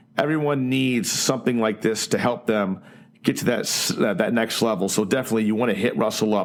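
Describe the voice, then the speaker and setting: A man talks fairly quickly with lively intonation. It is a normal speaking voice. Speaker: podcast host. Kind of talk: podcast interview.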